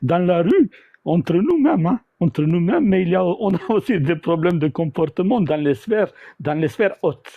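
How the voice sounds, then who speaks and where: With lively intonation and very even loudness, a man speaks at a high pitch and a moderate pace. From former Yugoslavia. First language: South Slavic language (speaking French). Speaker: debate participant. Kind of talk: live debate. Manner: halting, many repetitions. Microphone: audio cutting out, bumping mic.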